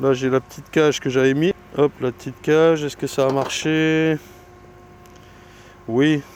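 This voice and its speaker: A man with a fairly high pitch talks at a fairly slow pace in a flat monotone, his loudness swinging widely. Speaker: beekeeper. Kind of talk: casual vlog commentary while working. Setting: outdoors at apiary. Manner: halting.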